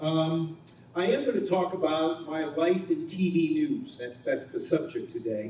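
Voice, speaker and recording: There is noticeable background noise and audible room echo as a man speaks with lively intonation. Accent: American. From Ohio, US Midwest. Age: 60s. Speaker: TV news anchor and reporter. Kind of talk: luncheon speech. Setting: banquet hall with audience.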